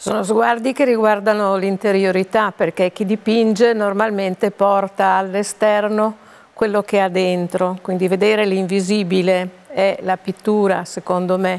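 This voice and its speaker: Keeping her loudness very even, a woman talks at a fairly slow pace in a monotone, flat intonation. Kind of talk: interview answer. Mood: calm, reflective. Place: studio.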